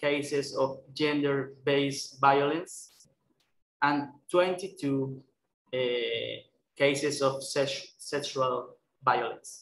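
A man with a Spanish accent speaks at a very slow pace, leaving long, frequent pauses. His tone is bright and sharp, with audible room echo and light background noise. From Colombia. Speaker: human rights worker. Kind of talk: webinar presentation. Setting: video call. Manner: halting. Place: office. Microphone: headset.

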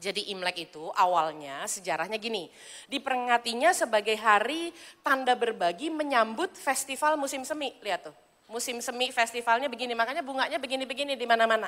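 Very fast and animated, a woman speaks at a high pitch in a bright, sharp tone with lively intonation. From Indonesia. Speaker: evangelist preacher. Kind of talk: sermon. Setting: church. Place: church.

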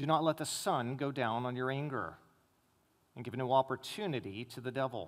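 The speaker is a man. His speech comes at a moderate speed. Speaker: preacher. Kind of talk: scripture reading. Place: church.

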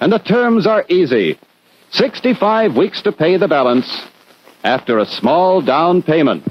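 Swinging widely in pitch, a man speaks at a moderate pace with a dry sound and no echo. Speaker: commercial announcer. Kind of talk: 1950s TV commercial, announcer voiceover. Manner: smooth, authoritative, formal, brisk announcer cadence. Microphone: old recording.

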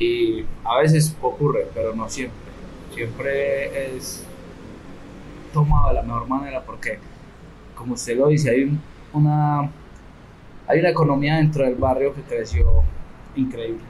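A man at a fairly slow pace with long, frequent pauses, over light background noise. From Colombia, Medellín (Comuna 13); Colombia. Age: young. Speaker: tour guide and community entrepreneur; community tour guide, guest. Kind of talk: interview. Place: hall. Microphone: studio mic.

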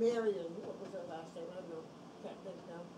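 The speaker keeps a moderate pace and fairly even intonation over clear background noise. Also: woman.

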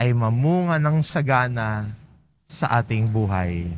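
A man speaks very slowly in a calm tone with lively intonation, and audible room echo surrounds him. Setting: church. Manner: calm, measured pastoral delivery; gently exhortative, inviting tone.

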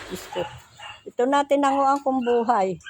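A woman's high-pitched voice rises above noticeable background noise. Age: old. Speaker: vlogger. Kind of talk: casual vlog. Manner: laughs often.

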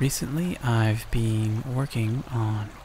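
Noticeable background noise sits behind a soft-spoken man at medium pitch. He talks at a very slow pace with fairly even intonation. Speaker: ASMR creator. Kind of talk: soft-spoken announcement.

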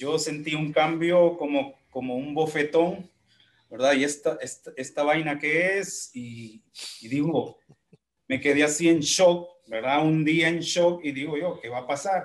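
A man with an unremarkable speaking voice talks at a fairly slow pace, his fairly high pitch showing ordinary variation. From Honduras, Santa Bárbara; Honduras. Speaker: music teacher and instrumentalist; music teacher. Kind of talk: casual interview. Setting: video call. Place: home room.

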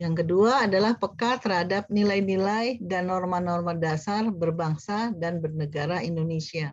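Somewhat breathy and fairly low in pitch, a woman speaks at a moderate pace with ordinary pitch variation and hardly any pauses, over a quiet background with a dry sound and no echo. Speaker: course coordinator, lecturer; lecturer. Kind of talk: lecture. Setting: video call. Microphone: webcam.

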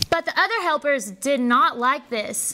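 A woman speaks in a raised, projected voice with lively intonation. Her pace is fairly slow. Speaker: storyteller narrator. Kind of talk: children's story reading. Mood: warm, expressive storytelling. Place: hall. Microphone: lapel.

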